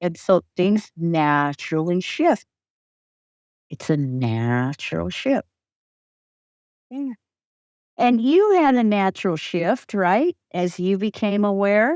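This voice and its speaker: A woman speaks loudly at a very slow pace, with long, frequent pauses and very wide pitch swings. The sound is dry and close, with no echo. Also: medium pitch for a woman. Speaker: mentor and recovery coach. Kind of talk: interview conversation.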